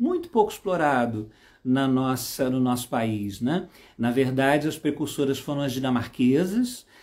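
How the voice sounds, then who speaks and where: The speaker has a Brazilian accent. The recording is very clean, with a silent background. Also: man. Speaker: psychomotor therapist and trainer. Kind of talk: live stream talk. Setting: Instagram live. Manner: hesitant, many fillers.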